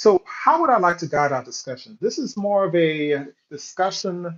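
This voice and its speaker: The man talks at a moderate pace. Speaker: panel moderator. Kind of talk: moderating a live panel discussion. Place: home room.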